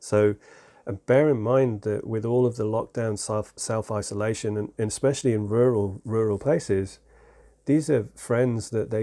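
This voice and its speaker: A man with an English accent has a dark, mellow tone and fairly even intonation. The recording is very clean, with a silent background. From England. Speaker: self-improvement podcast host. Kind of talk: unscripted solo monologue.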